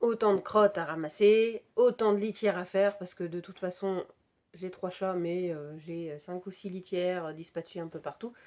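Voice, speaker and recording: A woman talks at a moderate pace and medium pitch, with fairly even intonation. Her loudness swings widely against a quiet background. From Brittany, France. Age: 30s. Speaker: knitting podcaster. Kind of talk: casual chat. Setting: home, cats around. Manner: hesitant, many fillers.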